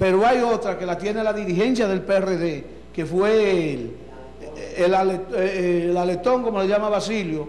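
A man's high-pitched voice with a Dominican accent, at a fairly slow pace with ordinary pitch variation, light background noise and audible room echo. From Dominican Republic. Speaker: local party leader. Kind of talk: political interview. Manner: animated. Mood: indignant political criticism. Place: studio. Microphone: handheld.

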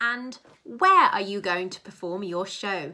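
The woman's delivery is fairly slow. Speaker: presenter. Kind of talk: tutorial. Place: home room. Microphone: webcam.

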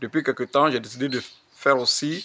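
This man speaks with an Ivorian accent. His pitch is medium, with ordinary pitch variation. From Côte d'Ivoire, Wê region (Facobly). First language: Wê (speaking French). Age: old. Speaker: language teacher. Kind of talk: tutorial. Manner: slow, repetitive.

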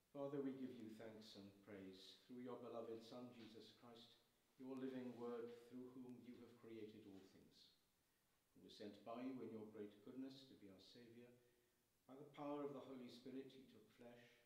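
A man speaks with a dark, mellow tone at a moderate pace, his intonation monotone and flat. His loudness swings widely, and room echo is audible. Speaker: priest. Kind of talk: liturgy. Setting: church. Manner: formal. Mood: solemn, measured. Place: church.

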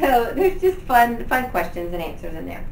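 A woman with an American accent at medium pitch, against clear background noise.

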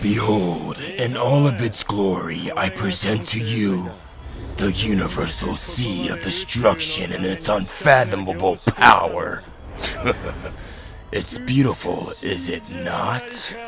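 A man's cartoonish character voice, fairly low in pitch and fairly slow, with clear background noise. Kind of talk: anime dub acting. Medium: fan dub. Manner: grandiose, triumphant.

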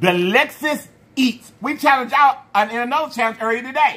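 With very wide pitch swings, a man's raised, projected voice comes across bright and sharp. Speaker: food challenge host. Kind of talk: casual vlog chat. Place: home room. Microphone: phone near.

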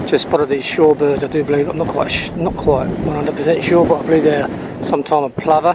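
With loud background noise behind him, a man's voice comes through dry, with no echo. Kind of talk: casual nature commentary. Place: beach. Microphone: camera far.

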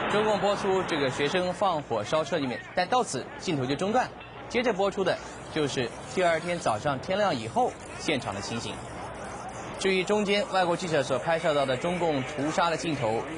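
Over noticeable background noise, a man with a high voice speaks at a moderate pace in a serious tone, his pitch swinging very widely. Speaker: TV news anchor. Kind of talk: 1989 Taiwanese TV newscast narration. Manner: formal, steady, measured news-anchor delivery; serious, gravely emphatic while describing the crackdown footage.

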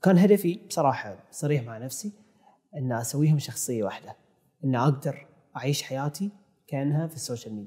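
A man with a fairly high pitch and a dark, mellow tone speaks at a moderate pace, somewhat breathy, with lively intonation. His loudness swings widely against a quiet background. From Bahrain. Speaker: filmmaker and YouTube content creator; YouTube content creator. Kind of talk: interview conversation. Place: studio. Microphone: lapel.

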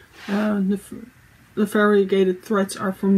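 Over light background noise, a woman with a Dutch accent speaks at a fairly slow pace in a monotone, flat intonation. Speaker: cross-stitch video creator; crafting vlogger. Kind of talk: casual monologue vlog. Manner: halting, many fillers. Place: home room. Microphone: phone near.

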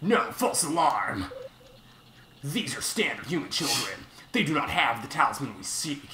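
A man with a fairly high pitch talks at a moderate pace, using very wide pitch swings and long, frequent pauses. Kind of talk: comic overacting. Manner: menacing, mock-ominous.

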